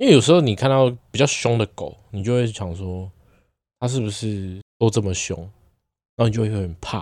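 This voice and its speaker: A man's fairly low voice at a moderate pace, ordinary pitch variation, long, frequent pauses, a very clean recording with a silent background. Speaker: podcast co-host. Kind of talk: casual chat.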